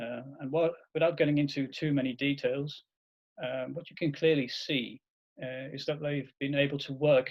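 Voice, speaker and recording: A man speaks with a Dutch accent. His pitch is fairly high and his pace fairly quick. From Netherlands. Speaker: agile consultant, webinar host. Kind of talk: webinar presentation.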